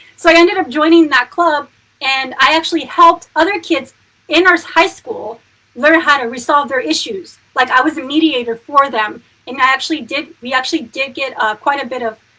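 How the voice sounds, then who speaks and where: Animated in tone, a woman with an American accent and a high pitch projects a raised voice at a moderate pace with ordinary pitch variation. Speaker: spiritual coach. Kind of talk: casual livestream talk. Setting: live video.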